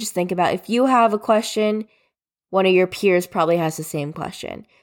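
Recorded very cleanly against a silent background, a woman with an ordinary speaking voice talks at a moderate pace, her medium pitch showing ordinary pitch variation. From US Northeast, New Jersey. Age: 20s. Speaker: podcast host. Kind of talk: solo podcast monologue. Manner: casual, chatty.

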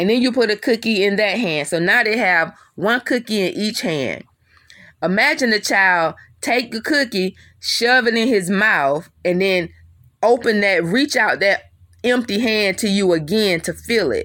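A woman's fairly high, bright, sharp voice with lively intonation and an animated tone, fairly slow in pace, in a very clean recording with a silent background. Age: 50s. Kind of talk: devotional teaching.

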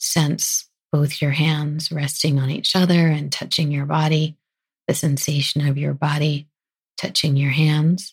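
In a soothing, calm tone, a somewhat breathy woman speaks at a very slow pace with a very deep, low pitch. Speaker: podcast host and physician. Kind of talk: guided meditation. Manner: slow, soft, soothing and calm; gentle, unhurried, with pauses.

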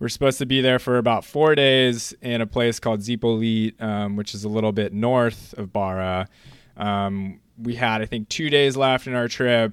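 With an American accent, a man speaks at a moderate pace in a plain, everyday voice of medium pitch. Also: fairly even intonation. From US West Coast, San Clemente, California. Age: 20s. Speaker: bodyboarding shop staff. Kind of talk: interview.

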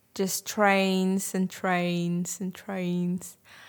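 A woman with a Russian accent is heard on a very clean recording with a silent background. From Ukraine, Crimea. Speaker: Ukrainian refugee. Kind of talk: casual group conversation.

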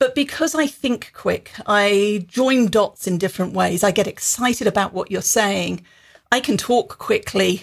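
A plain, everyday voice from a woman, fairly high in pitch, fairly slow, with ordinary pitch variation. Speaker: business author and executive development founder. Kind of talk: casual interview chat.

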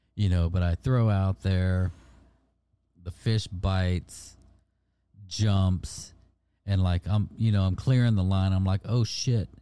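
A man's very deep, low voice with a dark, mellow tone, fairly even intonation, a very slow pace and long, frequent pauses, in a very clean recording with a silent background. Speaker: fishing podcast host. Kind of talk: casual chat.

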